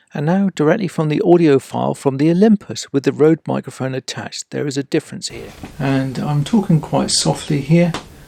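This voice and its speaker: The speaker has a British accent and talks at a fairly quick pace. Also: hardly any pauses. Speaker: YouTube gadget reviewer. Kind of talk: product review tutorial. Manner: soft-spoken. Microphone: far from the mic, one to two meters.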